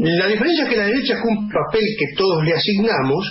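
A man's high-pitched voice over light background noise. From Argentina. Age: old. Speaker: radio co-host. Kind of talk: radio panel discussion. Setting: radio studio. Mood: critical, political opinion. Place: studio.

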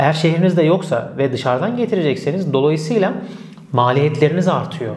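A man with a plain, everyday voice speaks at a fairly high pitch with ordinary pitch variation. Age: 30s. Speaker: e-commerce consultant; e-commerce educator. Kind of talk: tutorial. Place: office. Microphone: lapel.

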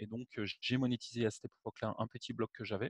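Over a quiet background, a man talks at a very fast pace in a monotone, flat intonation, the sound dry with no echo. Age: 40s. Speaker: web marketing entrepreneur; interviewee. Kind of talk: interview; interview answer. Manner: hesitant, with fillers. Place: home room. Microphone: headset.

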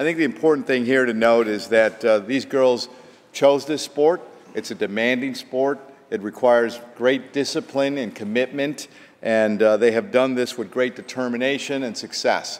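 The man's delivery has ordinary pitch variation and a moderate pace. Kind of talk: formal floor speech. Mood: proud, congratulatory. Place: hall. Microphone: podium.

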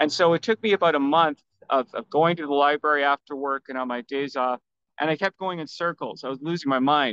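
A man with a Canadian accent at a very fast pace and fairly high pitch, with ordinary pitch variation, a dry sound with no echo and a quiet background. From Vancouver, Canada; British Columbia, Canada. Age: 50s. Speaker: self-published author; podcast guest. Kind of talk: interview. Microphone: video call.

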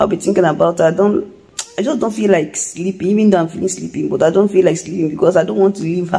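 Speaking at a very fast pace, a woman uses ordinary pitch variation. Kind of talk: casual vlog chat. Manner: soft, sleepy, weary voice. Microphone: phone near.

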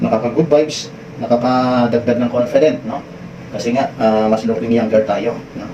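Speaking at a moderate pace, a man keeps a medium pitch and fairly even intonation. Audible room echo and noticeable background noise surround him. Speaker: seafarer vlogger. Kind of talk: vlog tutorial. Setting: ship bathroom.

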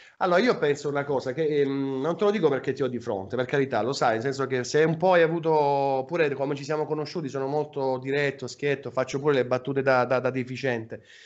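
A man talks at a very fast pace. His pitch is fairly high and his intonation fairly even. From Apulia, Salento (San Michele Salentino); Apulia. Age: 30s. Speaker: web radio host. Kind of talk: casual chat. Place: home room. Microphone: video call.

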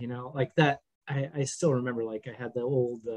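An American man speaks at a fairly quick pace. The background is quiet. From US Midwest, rural Minnesota. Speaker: game writer; podcast guest. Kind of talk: casual chat. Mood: relaxed, warm, smiling. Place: home room. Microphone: webcam.

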